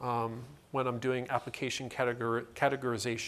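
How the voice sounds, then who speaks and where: A man's medium-pitched voice, a normal speaking voice, moving at a moderate speed. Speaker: conference presenter. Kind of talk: technical presentation.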